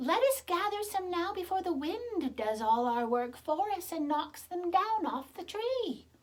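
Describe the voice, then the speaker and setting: A female-sounding voice performs a put-on character at an extremely high pitch. The pace is moderate. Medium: read story. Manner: soft, soothing.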